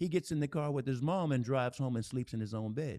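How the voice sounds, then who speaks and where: Here is an unremarkable speaking voice with an American accent and ordinary pitch variation at a moderate pace. The recording is very clean, with a silent background. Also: man. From US South, Nashville, Tennessee. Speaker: keyboardist and speaker. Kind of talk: casual interview.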